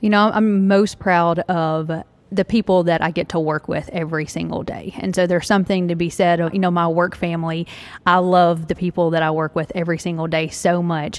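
With a Southern US accent, a woman talks at a fairly quick pace. Her intonation is monotone and flat. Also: fairly low pitch for a woman. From Tennessee. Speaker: franchise owner, former speech pathologist. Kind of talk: live interview before audience. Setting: retail store with live audience.

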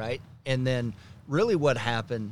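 Speaking at a moderate pace, a man uses a plain, everyday voice at a medium pitch with ordinary pitch variation. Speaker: business executive. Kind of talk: casual interview.

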